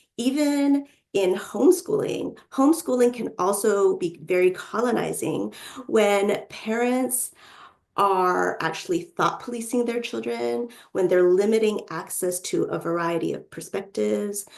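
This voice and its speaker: A woman speaks at a medium pitch in an unremarkable speaking voice. Her pace is fairly slow. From North America, Chinese-American. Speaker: author and parenting coach. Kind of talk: webinar talk. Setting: online webinar.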